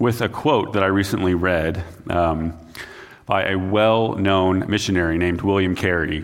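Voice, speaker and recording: An ordinary speaking voice from a man, fairly low in pitch, at a fairly slow pace. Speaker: missions pastor. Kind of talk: sermon. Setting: church.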